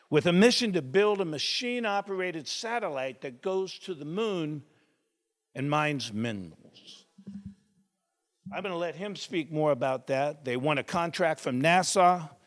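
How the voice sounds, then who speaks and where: In a very clean recording with a silent background, a man with a fairly high pitch talks at a moderate pace with lively intonation. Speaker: event host introducing speaker. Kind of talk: speaker introduction. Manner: loud.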